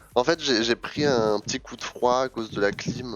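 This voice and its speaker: Music plays behind the speaker. A man talks at a fairly quick pace. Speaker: streamer. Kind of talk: casual chat. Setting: live stream.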